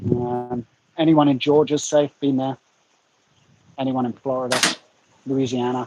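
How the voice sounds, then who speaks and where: With an English accent, a man at a medium pitch speaks in a monotone, flat intonation at a moderate pace with long, frequent pauses, in a dry, close sound with no echo. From England. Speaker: YouTuber guest. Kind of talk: casual chat. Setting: livestream.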